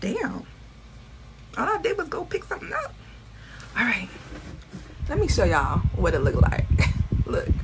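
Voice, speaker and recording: A woman speaks at a moderate pace with long, frequent pauses. Noticeable background noise sits behind her. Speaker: beauty and fashion vlogger. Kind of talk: casual vlog haul. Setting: beauty supply store, then at home. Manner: animated; quiet in store.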